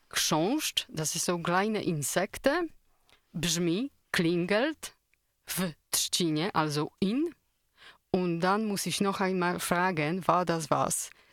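Speaking at a very slow pace with long, frequent pauses, a woman with a fairly low pitch and ordinary pitch variation is heard in a dry, close recording with no echo, very clean against a silent background. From Poland. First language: Polish (speaking German). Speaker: radio trainee. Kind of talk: casual radio chat.

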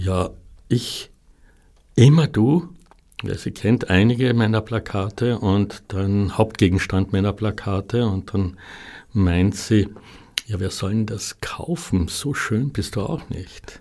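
At a very slow pace with long, frequent pauses, a man speaks in a fairly low voice with a dark, mellow tone and ordinary pitch variation, in a very clean recording with a silent background. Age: 60s. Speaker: artist. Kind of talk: interview. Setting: studio. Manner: halting.

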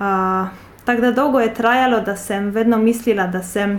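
A woman speaks with a Polish accent. Her voice is fairly high. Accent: Polish accent in Slovene. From Poland. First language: Polish (speaking Slovenian). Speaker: translator and university project officer. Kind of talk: interview. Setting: office.

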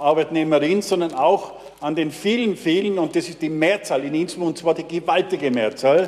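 Against noticeable background noise, a man talks at a moderate pace in a high pitch with ordinary pitch variation. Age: old. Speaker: city councillor, committee chair. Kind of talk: council debate speech.

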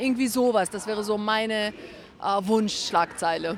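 A woman speaks at a medium pitch. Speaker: activist. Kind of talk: rally speech then interview answers. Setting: outdoors at protest vigil. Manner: formal, earnest, passionate.

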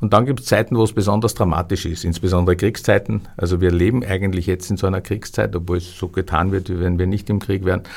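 Speaking at a very fast pace, a man with a very deep, low pitch keeps his intonation fairly even. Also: hardly any pauses. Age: 60s. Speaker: historian and publisher. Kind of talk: interview. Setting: studio.

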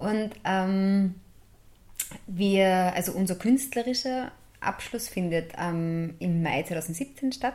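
The voice has a dark, mellow tone and lively intonation. It moves at a very slow pace with long, frequent pauses. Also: woman, medium pitch for a woman. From Upper Austria, Steyr area. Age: 20s. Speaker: music education student and performer. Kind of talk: radio interview.

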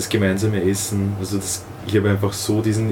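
Fairly low male voice in monotone, flat intonation at a fairly quick pace, with audible room echo and noticeable background noise. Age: 20s. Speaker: youth leader of a religious community. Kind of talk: interview.

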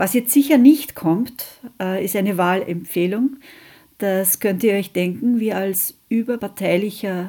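A woman speaks at a fairly slow pace with a medium pitch and ordinary pitch variation. Her tone is dark and mellow. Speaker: radio host, anti-nuclear activist. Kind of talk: radio magazine presentation, reading statements aloud.

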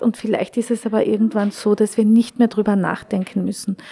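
A woman speaks at a medium pitch in a dark, mellow tone. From Austria, Carinthia (Klagenfurt). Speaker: visual artist. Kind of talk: exhibition tour interview. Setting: exhibition space. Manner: halting, many fillers.

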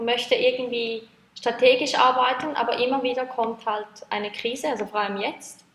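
The intonation is monotone and flat. The speech moves at a moderate pace. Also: woman. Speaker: project leader at sex worker advocacy network. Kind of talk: interview.

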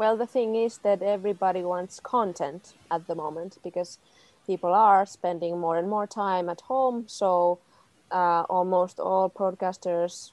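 A woman with a Finnish accent speaks at a fairly slow pace, her medium pitch moving with ordinary variation over a quiet background. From Finland, Tampere. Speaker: film producer. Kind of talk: panel discussion.

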